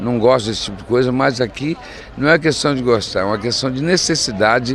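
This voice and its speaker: A man speaks at a fairly quick pace with ordinary pitch variation. Noticeable background noise runs under his voice. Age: 60s. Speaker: mayor. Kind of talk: interview. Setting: outdoors.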